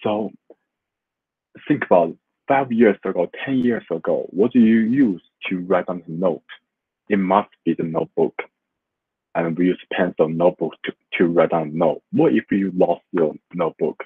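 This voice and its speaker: A man with a Chinese accent speaks at a very deep, low pitch. His intonation is lively, with long, frequent pauses. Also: moderate pace. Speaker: student. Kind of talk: class presentation. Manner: halting.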